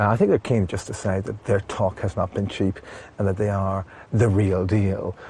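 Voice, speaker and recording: An English accent marks this man's dark, mellow, somewhat breathy tone. He talks at a fairly quick pace with monotone, flat intonation. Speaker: documentary presenter. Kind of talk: documentary field reporting.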